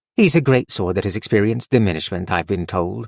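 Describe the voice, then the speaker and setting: Growling in a put-on character voice, a man speaks at a fairly low pitch with lively intonation and a very fast pace, in a dry, close sound with no echo. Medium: read story. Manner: calm, measured.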